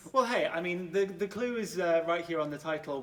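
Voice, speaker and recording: A man with a Welsh accent talks at a fairly quick pace in a high pitch. Noticeable background noise runs behind him. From Cardiff, Wales. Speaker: musical theatre and panto actor. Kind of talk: interview answer. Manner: upbeat, enthusiastic.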